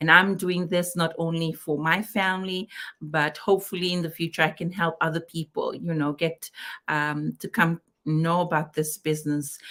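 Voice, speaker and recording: A woman speaks with a Fijian accent at a fairly low pitch. Her tone is bright and sharp, with fairly even intonation. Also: moderate pace. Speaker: digital business owner, co-host. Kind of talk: live-stream business chat. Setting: online live stream.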